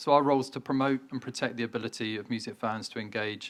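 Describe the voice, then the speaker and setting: A man speaks in a British accent at a fairly quick pace. His intonation is fairly even, and the recording is very clean with a silent background. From UK. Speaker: trade association CEO. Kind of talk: keynote speech.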